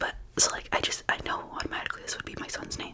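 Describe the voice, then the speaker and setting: A woman whispers at a very fast pace. Noticeable background noise sits behind her. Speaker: ASMR creator. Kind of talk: ASMR casual chat to camera. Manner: whispered.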